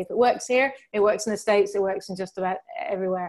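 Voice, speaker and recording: With a British accent, a woman talks very fast at a medium pitch on a very clean recording with a silent background. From England. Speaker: crypto channel host. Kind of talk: video interview.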